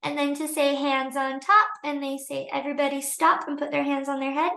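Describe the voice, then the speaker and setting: Soft-spoken and high-pitched, a woman talks at a moderate pace. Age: 20s. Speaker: teacher. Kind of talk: tutorial. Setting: livestream.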